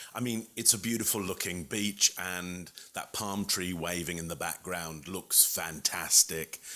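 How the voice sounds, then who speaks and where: A man with a London accent, very deep and low in pitch yet bright and sharp in tone, fairly slow with hardly any pauses, on a very clean recording with a silent background. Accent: British (London). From England, London. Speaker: communication expert and keynote speaker. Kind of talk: presentation tutorial to camera. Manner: conversational, animated.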